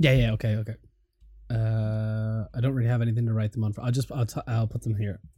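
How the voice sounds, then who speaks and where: A man's medium-pitched, somewhat breathy voice with an Irish accent, very fast and monotone, flat in intonation. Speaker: podcast host. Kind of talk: casual chat.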